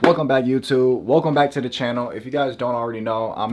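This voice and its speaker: Speech moves along fairly quickly. The pitch varies in an ordinary way. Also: man. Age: 20s. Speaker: credit educator YouTuber. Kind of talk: casual vlog talk to camera. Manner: animated.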